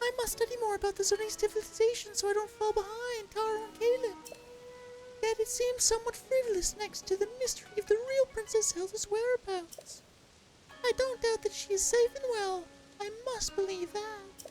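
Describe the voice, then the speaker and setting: A man puts on a squeaky character voice at an extremely high pitch, speaking at a moderate pace. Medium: machinima. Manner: earnest, solemn.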